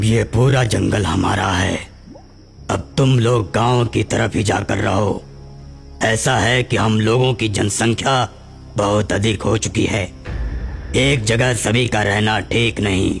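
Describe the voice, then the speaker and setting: A man puts on a character voice with a fairly low pitch at a fairly slow pace. Clear music plays in the background. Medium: audio drama. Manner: arrogant.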